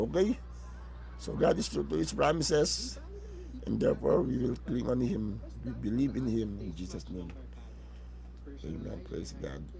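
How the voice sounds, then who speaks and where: A man speaks with long, frequent pauses, and audible room echo surrounds his voice. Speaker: pastor. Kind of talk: sermon. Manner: halting, many fillers and restarts.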